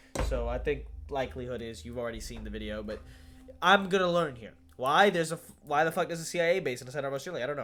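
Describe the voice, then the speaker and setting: With music in the background, a man rushes along at a very fast pace, his loudness swinging widely. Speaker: reaction youtuber. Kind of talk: casual reaction commentary. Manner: animated.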